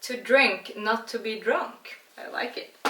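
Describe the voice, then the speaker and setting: A fairly high-pitched woman's voice over noticeable background noise. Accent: Swedish. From Sweden. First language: Swedish. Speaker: beer and cooking vlogger. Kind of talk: casual vlog tutorial and tasting. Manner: casual, chatty.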